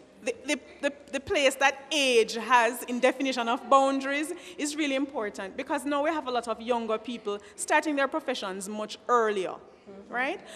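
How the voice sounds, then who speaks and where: Over noticeable background noise, a woman talks at a high pitch and a moderate pace, with ordinary pitch variation and big swings in loudness. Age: young. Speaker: teacher. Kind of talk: panel discussion. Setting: at a microphone before an audience. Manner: halting.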